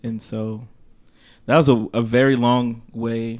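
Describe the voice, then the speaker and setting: A man's ordinary speaking voice with fairly even intonation. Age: 30s. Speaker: podcast co-host, counselor and stay-at-home father. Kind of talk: casual chat.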